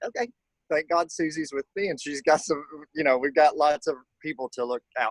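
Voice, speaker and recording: A man talks at a fairly quick pace in a Southern US accent. The sound is dry and close, with no echo. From Kentucky, US South. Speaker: color guard instructor. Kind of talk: online workshop. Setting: video call from backyard.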